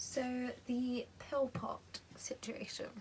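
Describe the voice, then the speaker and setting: Background noise is clearly audible. Over it, a woman talks. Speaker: vlogger with epilepsy. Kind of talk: casual vlog. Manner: hesitant, many fillers.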